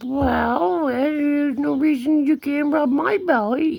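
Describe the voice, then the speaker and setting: High-pitched and fairly slow, this is a put-on character voice. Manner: coy, inviting.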